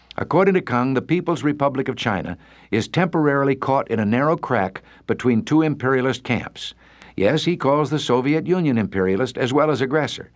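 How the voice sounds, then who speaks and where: An unremarkable speaking voice from a man with an American accent, fairly high in pitch, with lively intonation, very even loudness and a fairly quick pace, against a quiet background. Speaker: radio commentator. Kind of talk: radio commentary.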